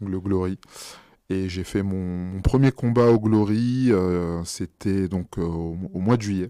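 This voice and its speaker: Over a quiet background, a man speaks very slowly with a very deep, low pitch and fairly even intonation. His tone is dark and mellow. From France. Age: 30s. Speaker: professional kickboxer. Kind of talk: podcast interview. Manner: halting, many fillers.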